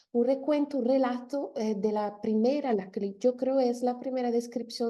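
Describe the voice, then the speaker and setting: With a non-native accent, a woman talks at a moderate pace in a high, dark, mellow voice with fairly even intonation. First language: not Spanish (speaking Spanish). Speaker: linguist. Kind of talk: lecture. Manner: halting, many fillers.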